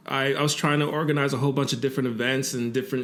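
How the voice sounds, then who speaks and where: A man's flat, monotone voice at a medium pitch, very fast pace and audible room echo. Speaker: musician and multidisciplinary artist. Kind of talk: interview. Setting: recording studio. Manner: laid back.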